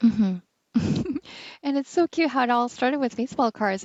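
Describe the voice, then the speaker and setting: A woman with a normal speaking voice, fairly high in pitch, at a moderate pace with ordinary pitch variation. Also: dry, close sound with no echo. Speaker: podcast host. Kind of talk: podcast interviewer.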